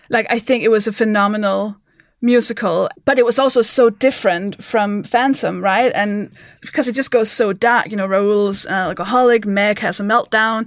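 A woman speaks with a Danish accent. Her pace is moderate and her intonation fairly even. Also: fairly high pitch for a woman. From Denmark. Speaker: comedian. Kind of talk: casual chat. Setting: remote from home.

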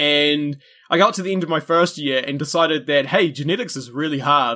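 Speaking at a very fast pace, a man with a New Zealand accent has a fairly high pitch and a bright, sharp tone. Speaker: history podcaster and wildlife conservation worker. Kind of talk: casual chat.

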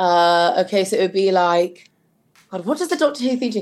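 Speaking with a British accent, a woman uses lively intonation at a medium pitch. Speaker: podcast host and novelist. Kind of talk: casual chat. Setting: video call.

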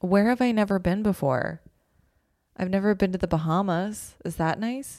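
A woman with a Canadian accent speaks at a moderate pace and a medium pitch. Her tone is dark and mellow, with ordinary pitch variation, on a very clean recording with a silent background. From Calgary, Canada. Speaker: comedian and writer. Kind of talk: casual chat.

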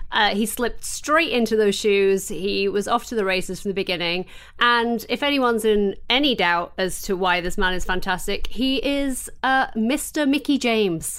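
A woman's fairly high voice at a moderate pace, with ordinary pitch variation and hardly any pauses, on a very clean recording with a silent background. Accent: English. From England. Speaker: podcast co-host. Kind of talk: casual chat.

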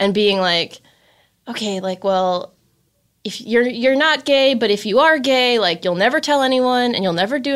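Speaking at a moderate pace with an American accent, a woman uses an ordinary speaking voice and lively intonation on a very clean recording with a silent background. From Chicago suburbs, Illinois. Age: 20s. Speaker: writer and producer. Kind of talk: casual chat.

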